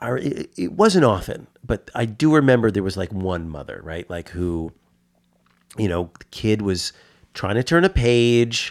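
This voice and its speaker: With a New York accent, a man speaks at a medium pitch and a fairly slow pace. His pitch swings very widely. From New York (Westchester, born in the Bronx). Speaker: comic shop customer. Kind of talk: casual chat. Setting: studio. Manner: halting, many fillers and repeats.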